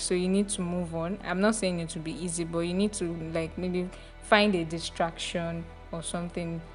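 Music plays in the background while a woman talks at a moderate pace. Her pitch is fairly low and her intonation is monotone and flat. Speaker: guest host.

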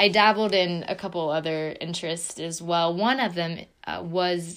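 Here is a plain, everyday voice from a woman with a fairly low pitch. She speaks at a fairly slow pace with fairly even intonation. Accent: American. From southeastern Ohio, near Marietta. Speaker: podcast co-host, fitness studio owner. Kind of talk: casual chat.

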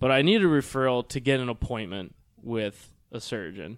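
At a moderate pace and medium pitch, a man talks in an unremarkable speaking voice. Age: 20s. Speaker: hip surgery patient. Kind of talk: casual interview.

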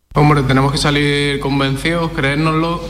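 Audible room echo and noticeable background noise surround a man speaking at a moderate pace. His pitch is fairly high and his intonation monotone and flat. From France. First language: French (speaking Spanish). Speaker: footballer. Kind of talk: interview. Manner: halting.

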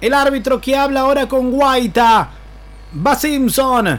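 The man's voice is extremely high in pitch. He talks at a fairly slow pace. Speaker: basketball play-by-play commentator. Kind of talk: live sports commentary. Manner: excitable, rising intensity in the final minute.

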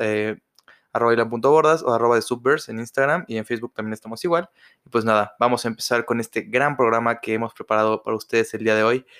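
A man talks at a very fast pace in a medium pitch, his intonation fairly even. The recording is very clean, with a silent background. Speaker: podcast host. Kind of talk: casual chat.

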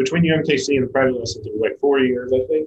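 A man with an American accent speaks in a fairly high, somewhat breathy voice with fairly even intonation. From US Midwest, Kansas City. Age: 40s. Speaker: drummer and tour manager. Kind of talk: casual chat.

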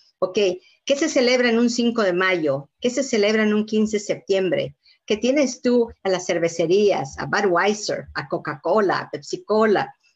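In a plain, everyday voice, a woman speaks fairly slowly at a fairly high pitch with lively intonation. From Mexico, Yucatán. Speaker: community leader, foundation president. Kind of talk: live interview. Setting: video call. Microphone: weak wifi connection.

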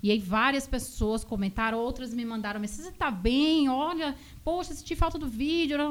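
A woman talks in a normal speaking voice with lively intonation. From Bahia, Brazil (Vitória da Conquista; born in São Paulo). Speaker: physiotherapist. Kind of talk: radio interview. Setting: radio studio.

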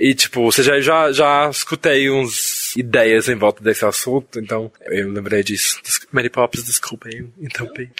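A man speaks at a fairly slow pace with medium pitch, ordinary pitch variation and hardly any pauses. The sound is dry and close with no echo, though noticeable background noise is present. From foreign, not Brazilian. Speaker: podcast host. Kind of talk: casual interview chat. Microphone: poor recording quality early on.

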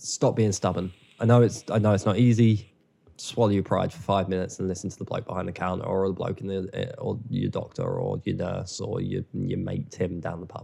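In an English accent, a man speaks with a dark, mellow tone, a fairly low pitch and fairly even intonation. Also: fairly quick pace. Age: 20s. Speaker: filmmaker. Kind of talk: casual chat.

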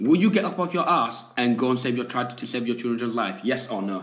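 A man's voice over noticeable background noise. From Yorkshire, England. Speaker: podcast co-host. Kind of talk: casual chat. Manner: animated.

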